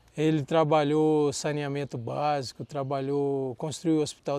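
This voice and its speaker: The speaker is a man. His tone is dark and mellow. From Brasília, central Brazil. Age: 60s. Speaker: agronomist. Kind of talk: life-story interview. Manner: conversational, with false starts.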